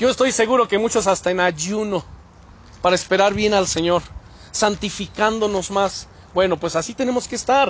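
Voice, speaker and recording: A high-pitched male voice, animated in tone, at a moderate pace with ordinary pitch variation. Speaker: pastor. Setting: church.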